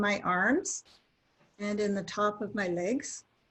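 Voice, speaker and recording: Fairly even intonation runs through a woman's somewhat breathy speech. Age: 60s. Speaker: student asking questions. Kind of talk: Q&A session.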